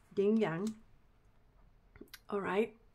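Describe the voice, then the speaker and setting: Noticeable background noise runs under the recording. The woman talks very slowly. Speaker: spiritual card reader. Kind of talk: tarot-style card reading. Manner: halting, many fillers.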